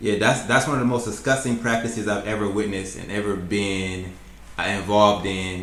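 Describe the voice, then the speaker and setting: A man speaks fairly quickly, and his words carry audible room echo. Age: 20s. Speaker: YouTuber reacting to videos. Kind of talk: reaction commentary.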